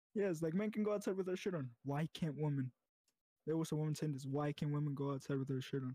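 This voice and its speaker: A man's fairly high, somewhat breathy voice with an American accent, a dark, mellow tone, ordinary pitch variation, a very fast pace and a dry, close sound with no echo. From US. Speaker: podcast guest. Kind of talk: casual chat. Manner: halting.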